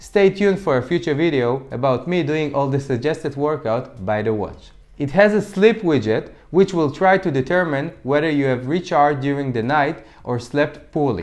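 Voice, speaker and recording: Against a quiet background, a man with a fairly high pitch speaks at a moderate pace with lively intonation. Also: hardly any pauses. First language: Hebrew. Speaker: fitness tech reviewer. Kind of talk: product review. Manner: occasional stumbles and false starts.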